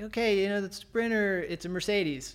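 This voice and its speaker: Audible echo from the room around a male speaker, pitch varying in an ordinary way. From US, Virginia (Navy family, moved around). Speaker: climber and van outfitting business owner. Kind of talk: casual interview. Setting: climbing gym / his shop.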